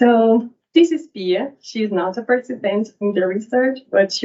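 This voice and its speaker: The speaker has a Brazilian accent. The pace is fairly slow. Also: woman. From Brazil, São Paulo. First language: Portuguese. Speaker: PhD researcher. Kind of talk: academic talk.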